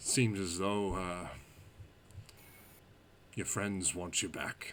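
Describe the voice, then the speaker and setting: Loud and booming, a man's put-on character voice sits at a very deep, low pitch, moving at a very slow pace in monotone, flat intonation over clear background noise. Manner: casual, confident.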